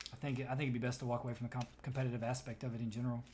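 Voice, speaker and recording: The man speaks very fast in a medium pitch, somewhat breathy. His intonation is flat and monotone. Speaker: tarot reader. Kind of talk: tarot reading.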